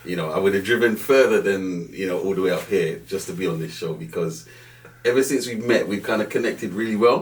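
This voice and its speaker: There is noticeable background noise. Over it, a man with a Jamaican accent speaks with a fairly low pitch. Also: ordinary pitch variation, fairly quick pace. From Jamaica, Kingston, then North London. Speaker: banking director. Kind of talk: podcast interview. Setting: studio.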